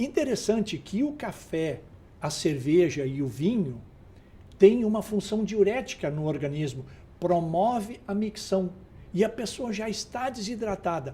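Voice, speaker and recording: This man's voice is high with a dark, mellow tone. He speaks fairly slowly, his pitch swinging very widely. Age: 60s. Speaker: health expert guest. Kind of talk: TV talk show interview.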